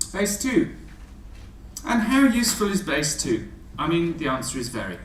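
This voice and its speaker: A man's high-pitched voice with very wide pitch swings at a moderate pace, amid noticeable background noise and audible room echo. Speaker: maths teacher giving a talk to teachers. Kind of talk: presentation to teachers. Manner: halting, many fillers.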